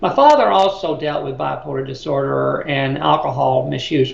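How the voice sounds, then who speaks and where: Noticeable background noise and audible room echo fill this recording. A man speaks with an American accent. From US South, Birmingham, Alabama. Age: 60s. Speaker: mental health advocate. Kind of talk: interview.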